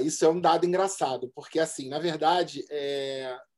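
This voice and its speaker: This man has an ordinary speaking voice with a fairly high pitch. He talks at a moderate pace. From Rio de Janeiro, Zona Norte (Benfica). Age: 40s. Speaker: advertising professional and DJ. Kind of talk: casual chat.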